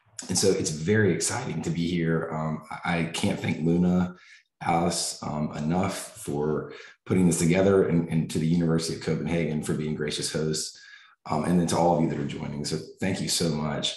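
In an American accent, this voice runs at a fairly quick pace with monotone, flat intonation and audible room echo. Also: man, very deep, low pitch for a man. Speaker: family medicine professor. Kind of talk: lecture. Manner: halting.

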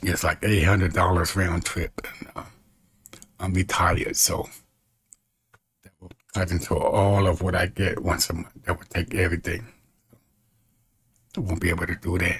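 Against a quiet background, a man with a very deep, low pitch talks at a moderate pace in a monotone, flat intonation, with long, frequent pauses. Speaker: evangelist. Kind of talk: casual vlog appeal for donations. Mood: calm, faith-filled, a little worried. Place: home room. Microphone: webcam.

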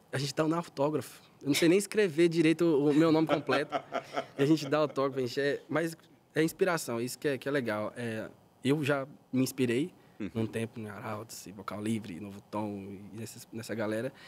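Over light background noise, a man speaks at a fairly quick pace with lively intonation. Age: 20s. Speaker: singer in a vocal group; guest. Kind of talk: casual chat. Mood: warm, relaxed, smiling. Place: studio. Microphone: studio mic.

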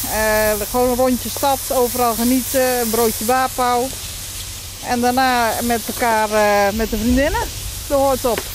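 Against noticeable background noise in a dry sound with no echo, a woman speaks fairly slowly at a high pitch, in a monotone with flat intonation and very even loudness. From Netherlands, Rotterdam then Nijmegen area; Netherlands. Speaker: festival director; guest. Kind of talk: casual chat. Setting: outdoors under a bridge. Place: waterside.

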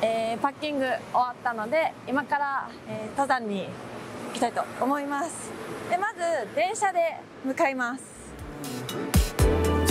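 Clear music plays behind a fairly slow voice, and the sound is dry with no echo. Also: woman. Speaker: travel vlogger. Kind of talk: casual vlog chat. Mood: cheerful, upbeat. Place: street. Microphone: phone near.

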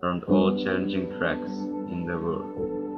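Over music in the background, a man talks with a German accent. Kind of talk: motorsport tribute narration. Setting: cheap headset microphone. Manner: passionate. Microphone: headset.

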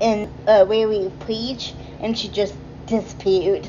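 A woman speaks with fairly even intonation. Light background noise can be heard. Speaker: vlogger. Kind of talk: casual vlog chat. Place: cafe. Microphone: phone near.

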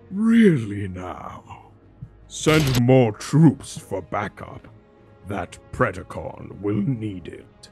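A man talks at a very slow pace with medium pitch, very wide pitch swings and big swings in loudness. Faint music plays in the background. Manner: menacing, gloating.

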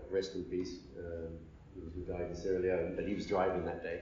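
Noticeable background noise and audible room echo surround a man with a very deep, low pitch who speaks in a flat monotone at a fairly quick pace. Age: 50s. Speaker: media executive and former journalist. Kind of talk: interview. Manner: halting.

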